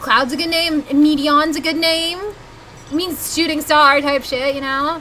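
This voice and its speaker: A woman's raised, projected voice, high-pitched and fairly slow, in a Southern US accent over noticeable background noise. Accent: Southern US accent, noticeable on some words. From US South. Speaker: video game streamer. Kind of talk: live gameplay stream chat. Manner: animated.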